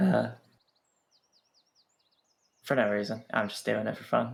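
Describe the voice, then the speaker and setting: A man speaks in a put-on character voice with a raspy edge. His pitch is medium and his pace moderate. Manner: playful, doing it for fun.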